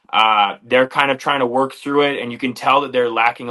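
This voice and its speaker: A bright, sharp tone with fairly even intonation over a quiet background. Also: man. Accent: strong Canadian. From Canada, Flin Flon, Manitoba. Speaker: MMA fighter, former wrestler. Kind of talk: interview.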